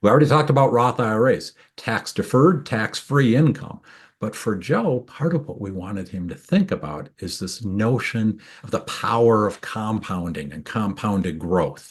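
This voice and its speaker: Against a quiet background, a man with a medium pitch and a Minnesotan accent speaks with very wide pitch swings. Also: moderate pace, big swings in loudness. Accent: Minnesota. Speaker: tax attorney. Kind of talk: webinar presentation. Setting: video webinar.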